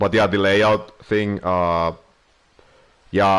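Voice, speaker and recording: With a non-native accent, a man speaks fairly slowly at a fairly low pitch with fairly even intonation. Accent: noticeable non-native. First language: Finnish. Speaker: streamer. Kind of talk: casual live-stream chat. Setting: live stream. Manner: hesitant, many filler words and pauses.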